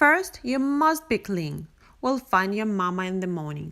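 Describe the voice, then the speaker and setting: A woman performs a put-on character voice at a medium pitch and moderate pace. The recording is very clean with a silent background. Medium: read story. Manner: fussy, flustered.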